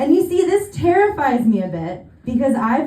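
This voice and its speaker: A woman with an American accent, amid audible room echo and noticeable background noise. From California. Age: 30s. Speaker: stand-up comedian. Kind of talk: stand-up. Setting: stage with audience.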